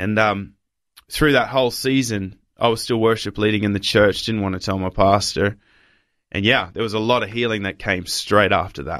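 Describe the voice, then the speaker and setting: With an Australian accent, a man speaks at a moderate pace and a fairly low pitch. His intonation is fairly even, and the recording is very clean with a silent background. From Papua New Guinea and Australia. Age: 20s. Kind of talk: interview testimony.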